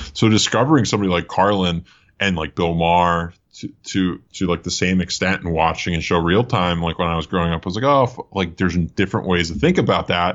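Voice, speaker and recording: In an American accent, the voice moves at a fairly quick pace with ordinary pitch variation. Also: man, very deep, low pitch for a man. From US Northeast, suburban Philadelphia. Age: 30s. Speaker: comedian. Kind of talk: casual chat. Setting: video call.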